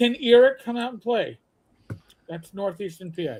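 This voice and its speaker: A man talks with a New York accent and lively intonation. His pace is moderate. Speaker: podcaster. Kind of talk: casual chat. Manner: animated.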